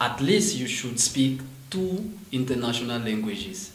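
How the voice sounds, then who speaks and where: A man's voice is heard with audible room echo and noticeable background noise around it. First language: French. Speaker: French teacher and MBA student. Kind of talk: interview. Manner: halting.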